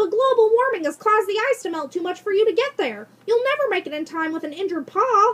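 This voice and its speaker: In a put-on character voice, a woman squeaks at an extremely high pitch, racing along at a very fast pace with lively intonation and hardly any pauses. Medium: read story. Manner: polite, professorial.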